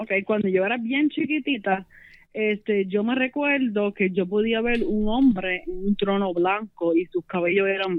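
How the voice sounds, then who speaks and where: Speaking at a fairly slow pace, a woman with a Puerto Rican accent uses a medium pitch with ordinary pitch variation. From Puerto Rico, Las Piedras. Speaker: religious testimony guest. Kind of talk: testimony.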